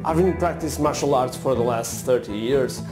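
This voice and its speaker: Speech comes with a non-native accent. Music plays clearly in the background. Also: man. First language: not English. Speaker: martial artist, self-development coach. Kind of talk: casual talk to camera. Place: studio. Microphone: lapel.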